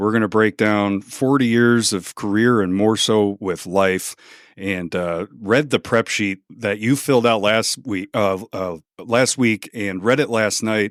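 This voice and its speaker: On a very clean recording with a silent background and a dry, close sound with no echo, a man with an American accent speaks at a fairly slow pace, with a fairly low pitch and fairly even intonation. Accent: Chicago accent, returns when visiting. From Chicago. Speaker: podcast host. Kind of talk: podcast interview.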